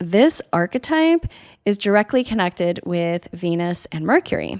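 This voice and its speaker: In an ordinary speaking voice, a woman talks at a moderate pace and a fairly low pitch with ordinary pitch variation, on a very clean recording with a silent background and a dry, close sound with no echo. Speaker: podcast host, astrology and herbalism teacher. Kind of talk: casual podcast talk.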